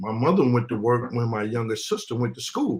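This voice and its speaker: At a moderate pace, a man talks at a medium pitch in a normal speaking voice. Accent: American. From New York (Queens), summers in the US South. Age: 50s. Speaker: live stream guest, uniformed worker. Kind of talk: casual live stream discussion. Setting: live stream.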